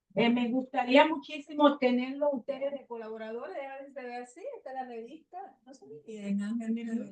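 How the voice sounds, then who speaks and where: With hardly any pauses, a woman with a high pitch talks very fast, her loudness swinging widely and her pitch varying in an ordinary way. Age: 70s. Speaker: communications specialist and radio host. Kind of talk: closing remarks at a meeting.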